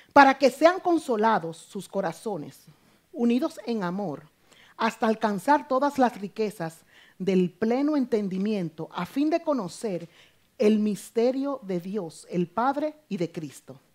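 Over a quiet background, a woman with a fairly high pitch speaks at a very slow pace. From Dominican Republic. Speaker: preacher. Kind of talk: sermon. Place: church.

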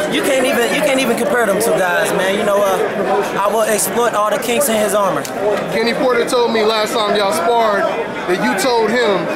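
Fairly quick speech over crowd noise in the background. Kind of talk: interview answer. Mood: confident trash talk. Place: gym.

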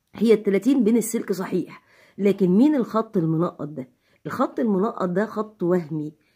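Against a quiet background, a woman with an Egyptian accent speaks at a fairly slow pace in a dark, mellow, somewhat breathy tone with lively intonation. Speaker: physics teacher. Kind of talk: tutorial. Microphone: phone near.

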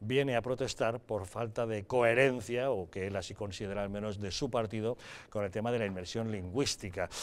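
With a plain, everyday voice, a man talks at a fairly quick pace, his fairly low pitch following fairly even intonation. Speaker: TV news presenter. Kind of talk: news reading. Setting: studio. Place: studio. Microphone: lapel.

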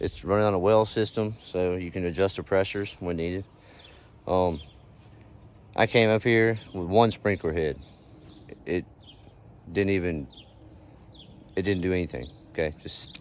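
A man with a very deep, low pitch and ordinary pitch variation speaks at a moderate pace with long, frequent pauses, the sound dry with no echo. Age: 40s. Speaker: landscaping business owner and vlogger; vlogger. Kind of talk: casual vlog talk to camera. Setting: outdoors on job site. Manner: energetic. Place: garden. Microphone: phone near.

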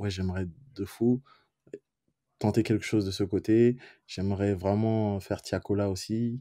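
On a very clean recording with a silent background, a man with a fairly low pitch and a dark, mellow tone speaks at a fairly slow pace in a monotone, flat delivery with long, frequent pauses. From Benin. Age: 20s. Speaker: music producer. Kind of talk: casual interview. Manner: hesitant, many fillers.

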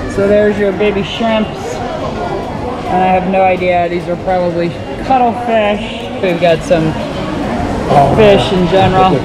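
Loud background noise surrounds a woman speaking at a moderate pace. She leaves long, frequent pauses. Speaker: travel vlogger. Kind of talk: casual vlog tour commentary. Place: shop. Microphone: phone near.

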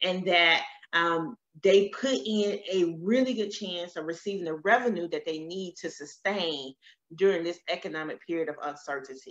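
With an American accent, a woman speaks at a moderate pace and with lively intonation against a quiet background. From US South. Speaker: loan consultant. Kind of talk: webinar presentation. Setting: live stream. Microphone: webcam.

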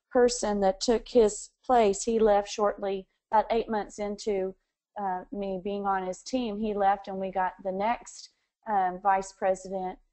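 A woman speaks with monotone, flat intonation. Her pace is fairly slow over a quiet background. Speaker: interviewee. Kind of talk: interview answer. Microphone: phone line.

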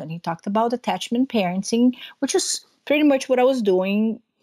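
A woman with a Portuguese accent and a fairly high voice, on a very clean recording against a silent background. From Brazil. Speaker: dairy farmer and homeschooling mother. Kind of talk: interview conversation.

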